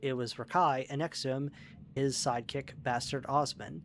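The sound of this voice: The intonation is fairly even. What comes through is an unforced reading voice.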